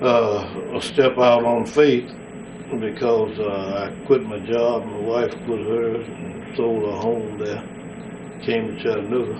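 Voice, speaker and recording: A man speaks very slowly in a Southern US accent, at a medium pitch with fairly even intonation. Noticeable background noise and audible room echo are present. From West Tennessee, US South. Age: 70s. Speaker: war veteran and pastor. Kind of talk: oral history interview.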